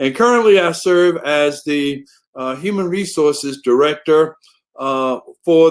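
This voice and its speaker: Lively intonation and a Southern US accent mark this fairly slow delivery. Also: man. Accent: Southern US drawl. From US South. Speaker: human resources director. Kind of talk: conference talk. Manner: many filler words (uh, um).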